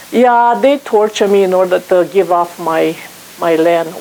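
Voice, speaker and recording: A woman with a Romanian accent speaks at a medium pitch with ordinary pitch variation, over noticeable background noise. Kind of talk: guest talk to an audience.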